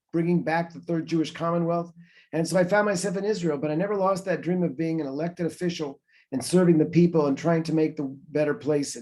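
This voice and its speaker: This man speaks with a high pitch and ordinary pitch variation. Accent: American. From North Carolina, US South. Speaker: professor and member of parliament. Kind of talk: webinar talk. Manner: conversational with many filler words.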